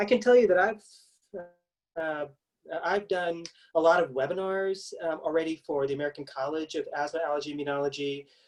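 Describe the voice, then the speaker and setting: Long, frequent pauses break up the speech of a man with a fairly high pitch. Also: ordinary pitch variation, fairly quick pace. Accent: Kentucky. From Kentucky. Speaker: pediatric allergist and immunologist. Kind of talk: medical webinar presentation. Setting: virtual event.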